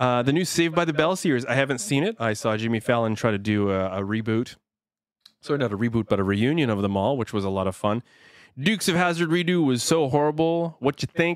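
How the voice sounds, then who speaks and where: Very fast and full of lively intonation, a man's medium-pitched speech comes through a very clean recording with a silent background. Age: 30s. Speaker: podcast guest. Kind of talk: casual chat. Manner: quiet.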